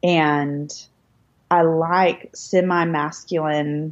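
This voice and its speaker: A woman with a plain, everyday voice speaks at a fairly low pitch, her pitch rising and falling by an ordinary amount. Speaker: author. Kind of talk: casual chat between friends.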